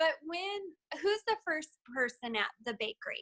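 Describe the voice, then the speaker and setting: A woman speaks in a raised, projected voice with a bright, sharp tone. Her pace is fairly slow and her intonation lively. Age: 30s. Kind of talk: motivational talk.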